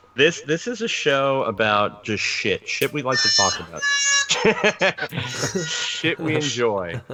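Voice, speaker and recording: Over music in the background, a man speaks at a very slow pace with hardly any pauses. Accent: American. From US Northeast, New York (Long Island). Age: 40s. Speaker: podcast co-host. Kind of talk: casual chat. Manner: halting.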